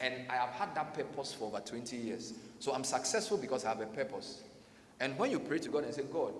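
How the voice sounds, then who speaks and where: A man speaks very fast at medium pitch with lively intonation. Noticeable background noise and audible room echo fill the recording. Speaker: radio host and conference speaker. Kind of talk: motivational conference talk. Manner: animated.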